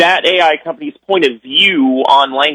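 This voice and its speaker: With an American accent, a man speaks at a high pitch. His intonation is lively. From US Midwest. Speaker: author and AI specialist. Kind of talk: interview. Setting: recorded interview clip.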